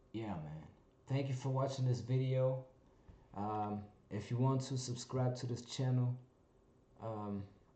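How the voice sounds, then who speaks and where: In a room with audible echo, a somewhat breathy man speaks fairly slowly, with ordinary pitch variation and long, frequent pauses. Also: medium pitch for a man. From Germany. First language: German. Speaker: vlogger. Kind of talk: casual monologue vlog. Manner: halting, many fillers.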